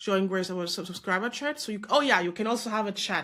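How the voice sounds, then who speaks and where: A woman speaks with a non-native accent and an animated tone. Her pitch is medium, with ordinary variation. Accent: non-native English speaker. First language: not English. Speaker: business coach and content creator. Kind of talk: screen-share tutorial; motivational pep talk. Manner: casual, animated; halting with self-corrections.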